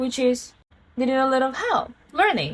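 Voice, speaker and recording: This is a woman speaking. She has a Korean accent. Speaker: vlogger. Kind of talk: casual monologue to camera. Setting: at home.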